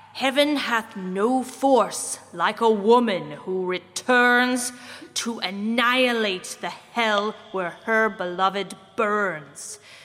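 Using a put-on character voice, a woman speaks very slowly. Her pitch sits fairly high. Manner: menacing, building to a scream.

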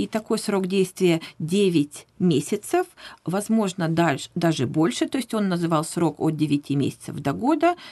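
With a dark, mellow tone and lively intonation, a woman of fairly low pitch speaks at a fairly slow pace. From Russia, Vladivostok. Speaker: professional interpreter. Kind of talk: radio interview. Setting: radio studio.

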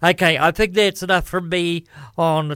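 A man with a New Zealand accent and fairly even intonation, dry and close with no echo, on a very clean recording with a silent background. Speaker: radio host. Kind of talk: radio DJ patter. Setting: studio. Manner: chatty, relaxed, informal.

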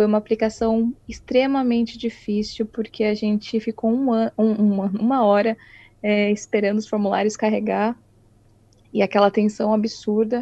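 In a dry, close sound with no echo, a woman with fairly high pitch and a dark, mellow tone speaks at a moderate pace, somewhat breathy, in a monotone, flat intonation. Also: very even loudness. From Brazil, São Paulo state (Itu). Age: 20s. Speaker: illustrator. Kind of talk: casual interview.

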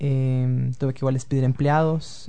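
A man speaks at a fairly slow pace. His intonation stays monotone and flat. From Venezuela (Caracas) to age 11, then Quito, Ecuador. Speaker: student recruitment consultant and blogger. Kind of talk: interview.

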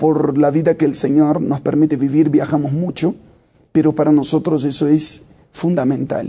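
Fairly high in pitch, a man with a dark, mellow tone speaks at a moderate pace in a flat monotone with very even loudness. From Brazil. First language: Portuguese (speaking Spanish). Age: 30s. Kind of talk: interview.

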